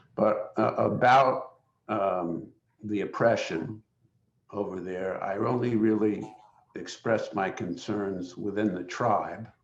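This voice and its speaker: A man speaks at a very slow pace in a fairly low pitch. His intonation is fairly even, and audible room echo surrounds the voice. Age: 70s. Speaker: human rights lawyer, webinar panelist. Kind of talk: panel discussion. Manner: halting, many fillers.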